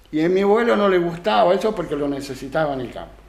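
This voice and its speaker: A man speaks with a Rioplatense accent at a high pitch. His intonation is lively, and the room echo is audible. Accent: Argentine Spanish (rioplatense). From Argentina, Santa Fe province (San Carlos area). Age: 70s. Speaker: retired rural worker and craftsman. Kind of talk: radio interview. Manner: halting, with frequent repetitions.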